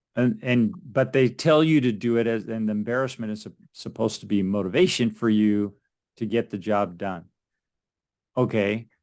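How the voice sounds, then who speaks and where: In a plain, everyday voice, a man speaks at a medium pitch and a moderate pace with ordinary pitch variation. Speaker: podcast interviewer. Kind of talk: interview host talk.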